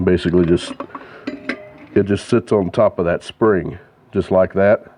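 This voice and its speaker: Over music in the background, a man with a very deep, low voice talks at a moderate pace. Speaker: car mechanic youtuber. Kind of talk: tutorial. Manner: halting, stuttering.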